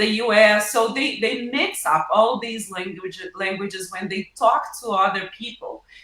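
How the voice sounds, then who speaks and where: Someone speaks with a Portuguese accent at a fairly slow pace. Noticeable background noise runs underneath. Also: woman. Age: 50s. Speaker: professor. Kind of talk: interview. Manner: halting, many fillers.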